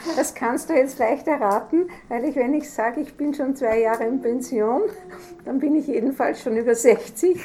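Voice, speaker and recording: Music plays in the background as a woman speaks at a high pitch and moderate pace with ordinary pitch variation. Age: 60s. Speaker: retired judge. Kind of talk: interview with children.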